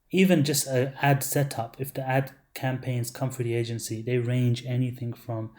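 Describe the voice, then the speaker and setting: A man's voice is somewhat breathy, with a dark, mellow tone. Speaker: online marketer selling ad services. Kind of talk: webinar sales pitch. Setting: webinar. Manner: animated.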